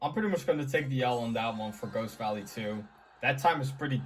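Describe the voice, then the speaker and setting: A man at medium pitch with music in the background. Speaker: gaming YouTuber. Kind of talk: gameplay commentary. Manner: quiet; casual.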